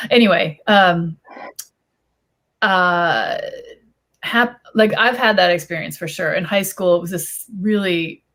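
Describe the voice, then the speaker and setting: In a Chicago accent, a woman with a medium pitch and ordinary pitch variation talks at a very slow pace with long, frequent pauses. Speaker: YA author on panel. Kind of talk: panel discussion. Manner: halting, many fillers.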